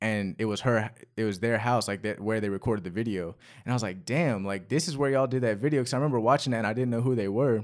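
On a very clean recording with a silent background, the speaker goes at a very fast pace with ordinary pitch variation. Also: man, medium pitch for a man. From North Carolina, US. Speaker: rapper. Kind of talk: casual chat.

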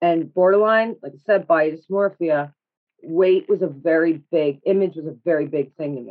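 A woman with a normal speaking voice has a fairly low pitch. She talks at a moderate pace with ordinary pitch variation. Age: 30s. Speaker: podcast guest sharing mental health experiences. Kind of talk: casual interview chat.

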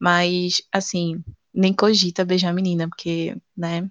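Against a quiet background, a woman speaks at a moderate pace with a fairly low pitch and a monotone, flat intonation, the sound dry and close with no echo. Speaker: comedy podcast co-host. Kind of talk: comedic casual chat. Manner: stuttering at times today.

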